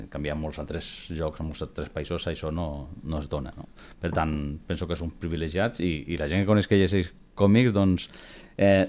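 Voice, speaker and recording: With a very deep, low pitch, a man talks at a moderate pace using ordinary pitch variation. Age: 40s. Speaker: secondary school teacher and comic collector. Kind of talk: casual chat. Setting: studio.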